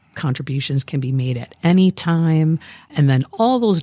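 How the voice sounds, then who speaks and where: A woman's very deep, low voice with a dark, mellow tone and an American accent, at a moderate pace, dry and close with no echo in a very clean recording with a silent background. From rural Wisconsin, near Fond du Lac. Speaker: community foundation executive. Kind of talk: podcast interview.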